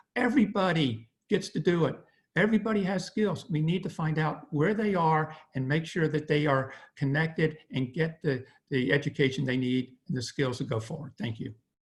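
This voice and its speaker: A man speaks in a plain, everyday voice with a fairly high pitch. His intonation is lively and his pace is moderate. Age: 60s. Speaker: school board candidate. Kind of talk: candidate forum answers.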